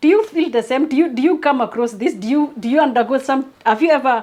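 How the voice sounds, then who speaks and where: A high-pitched woman with a non-native accent and lively intonation. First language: not English. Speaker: YouTube creator, motivational speaker. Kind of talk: motivational talk to camera. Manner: halting, frequent repetitions.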